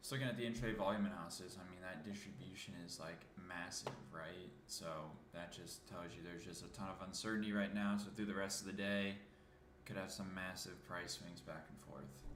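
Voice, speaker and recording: A man mumbling at a fairly quick pace, very deep and low in pitch, with ordinary pitch variation, audible room echo and noticeable background noise. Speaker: market analyst streamer. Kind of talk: live market commentary. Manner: casual, mumbling.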